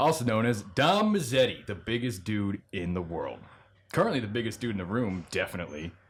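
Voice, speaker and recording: Talking at a fairly quick pace, a man uses lively intonation at a medium pitch. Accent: American. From New Jersey. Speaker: podcast host and comedian. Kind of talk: casual chat.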